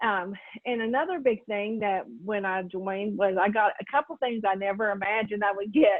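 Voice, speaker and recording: At a moderate pace, a woman speaks in a plain, everyday voice, pitched medium with ordinary pitch variation. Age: 60s. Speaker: retired network marketing distributor. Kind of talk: testimony.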